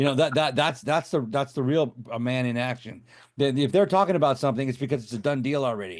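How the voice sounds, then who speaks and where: Against a quiet background, a man speaks very fast at a medium pitch with ordinary pitch variation. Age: 50s. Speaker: special effects artist and film director. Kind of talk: interview. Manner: halting, repetitive.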